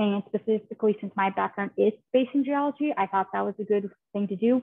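A woman with a fairly high pitch speaks fairly quickly with ordinary pitch variation and an unremarkable speaking voice. The background is quiet. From rural western Kansas, US. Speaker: geoscientist fellow. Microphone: video call.

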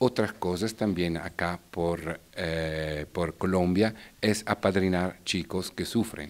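A very deep, low male voice with an Italian accent, very slow pace and fairly even intonation. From Italy, Bergamo; Italy. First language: Italian (speaking Spanish). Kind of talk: interview. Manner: halting. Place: hall. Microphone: handheld.

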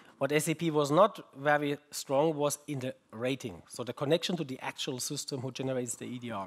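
Hardly pausing at all, a man talks in a fairly high pitch with a German accent. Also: ordinary pitch variation, moderate pace. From Germany. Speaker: research group head, conference keynote speaker. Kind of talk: keynote talk. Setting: conference stage with audience. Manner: halting, with fillers and repetitions. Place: hall.

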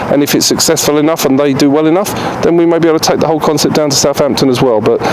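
Noticeable background noise sits behind speech delivered at a very fast pace. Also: man, fairly even intonation. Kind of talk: interview answer. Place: garden. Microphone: handheld.

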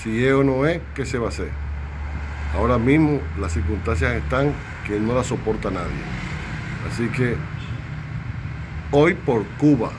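Over clear background noise, a man of medium pitch talks at a fairly slow pace with lively intonation and long, frequent pauses.

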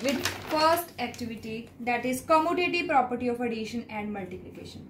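Light background noise and audible room echo come through in the recording. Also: woman. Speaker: school math teacher. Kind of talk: presentation to a jury. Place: home room. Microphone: phone near.

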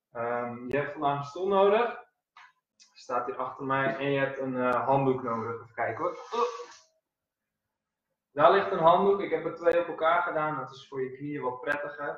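Amid audible room echo but a quiet background, a man talks at a moderate pace with ordinary pitch variation, big swings in loudness and long, frequent pauses. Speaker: fitness instructor. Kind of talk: casual instructions to a live class. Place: home room. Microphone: camera far.

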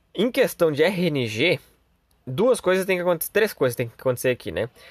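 A man sounds animated, with very wide pitch swings at a moderate pace. The sound is dry and close, with no echo. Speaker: gaming youtuber. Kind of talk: gameplay commentary. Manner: casual, animated.

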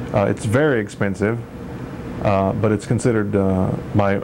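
There is noticeable background noise as a man speaks at a fairly low pitch with fairly even intonation. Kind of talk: tutorial. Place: garage. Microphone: old recording.

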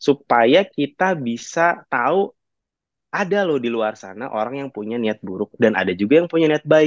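Very wide pitch swings at a moderate pace, dry with no echo, over a quiet background. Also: man. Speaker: company CEO. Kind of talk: online talk presentation. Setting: video call. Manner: halting, many fillers. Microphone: video call.

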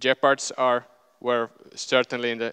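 Against a quiet background, a man speaks at a very slow pace in a bright, sharp tone. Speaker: conference speaker. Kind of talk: lecture. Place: hall. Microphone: headset.

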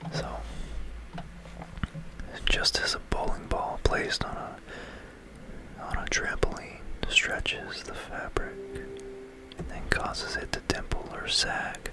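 A man whispering very slowly, with long, frequent pauses and big swings in loudness. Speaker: ASMR narrator playing a game. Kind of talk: ASMR educational science narration over gameplay. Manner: whispered.

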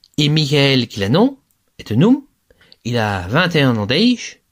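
There are very wide swings in this man's pitch. He talks fairly slowly. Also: long, frequent pauses. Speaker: Gallo language teacher. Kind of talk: lecture. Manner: didactic, clear, explanatory.

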